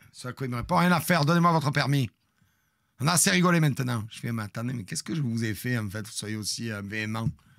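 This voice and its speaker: A man talks at a very fast pace with an animated tone and lively intonation. His loudness swings widely against a quiet background. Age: 50s. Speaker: streamer storyteller. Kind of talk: storytelling to live stream audience. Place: home room. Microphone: studio mic.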